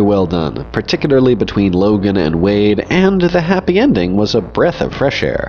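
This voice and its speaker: Noticeable background noise under a man's fairly low-pitched voice. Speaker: comics video essayist. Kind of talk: video essay narration.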